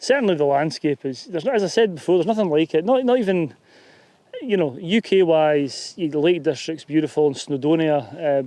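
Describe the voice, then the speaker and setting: Speaking with a Scottish accent, a man uses a fairly high-pitched, dark, mellow tone. His intonation is lively and his pace fairly quick. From Scotland. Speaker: YouTuber and hillwalker. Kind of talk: casual chat. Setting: outdoors. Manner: halting.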